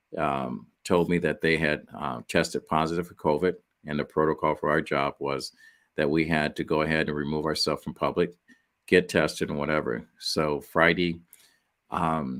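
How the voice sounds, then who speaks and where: Against a silent background in a very clean recording, a man speaks in a very deep, low, monotone voice with vocal fry. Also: moderate pace. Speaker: author and podcast guest. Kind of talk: interview storytelling. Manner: occasionally slurred, halting speech.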